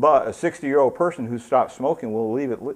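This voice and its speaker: A man speaks in an ordinary speaking voice at a medium pitch with ordinary pitch variation. The background is quiet. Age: 60s. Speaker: addiction treatment trainer. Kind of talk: lecture. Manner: casual.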